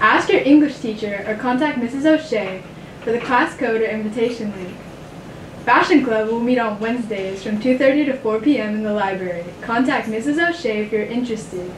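A woman speaks with ordinary pitch variation. Light background noise and audible room echo can be heard. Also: moderate pace. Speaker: student news anchor. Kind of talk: school announcements. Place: studio.

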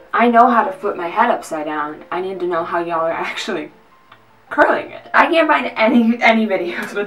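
With music in the background, a woman is talking. Her pace is moderate. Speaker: vlogger. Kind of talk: casual vlog chat. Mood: playful, sarcastic. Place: bathroom. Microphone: camera far.

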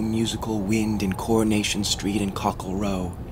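With noticeable background noise behind him, a man speaks fairly slowly in a fairly low, monotone, flat voice. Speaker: actor. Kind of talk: poetry reading.

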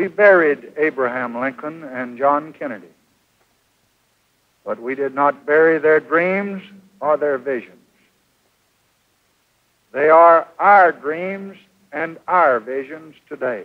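Against a quiet background, a man speaks very slowly with long, frequent pauses and ordinary pitch variation. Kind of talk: memorial speech. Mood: solemn, mournful.

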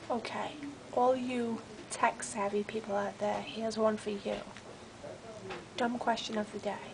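A woman speaks quietly in a flat monotone at a fairly slow pace. Long, frequent pauses break her speech, and background noise is noticeable. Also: fairly high pitch for a woman. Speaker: office worker. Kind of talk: casual rant to camera. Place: office. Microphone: webcam.

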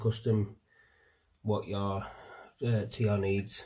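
Somewhat breathy and fairly low in pitch, a man talks at a fairly slow pace in a dark, mellow tone. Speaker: hobbyist reviewer. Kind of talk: casual product review. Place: home room. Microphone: phone near.

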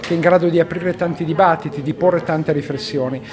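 Over light background noise, a man speaks at a very fast pace, his pitch high with ordinary variation. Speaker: priest. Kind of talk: interview answer. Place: meeting room. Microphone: handheld.

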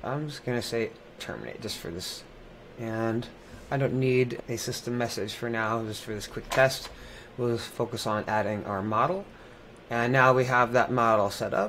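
Moderate pace from a man, fairly even intonation, light background noise behind him. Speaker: presenter. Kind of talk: tutorial. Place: home room.

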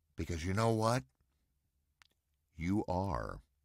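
Here a man speaks over a quiet background. The sound is dry with no echo. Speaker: voice actor, game announcer. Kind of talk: cameo greeting message to community. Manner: warm, encouraging. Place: home room.

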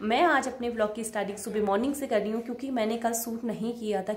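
A woman at a moderate pace with a fairly high pitch and fairly even intonation, in audible room echo. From Uttarakhand, Nainital district (Kotabagh); Uttarakhand. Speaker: vlogger. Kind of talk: casual vlog narration. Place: home room. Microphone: phone near.

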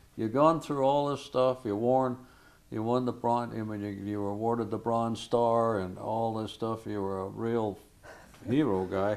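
This is an unremarkable speaking voice. It moves at a fairly slow pace. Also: man. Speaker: oral history interviewer. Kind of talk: conversational interview. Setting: filmed interview on camera. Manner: chatty, encouraging, laughs often.

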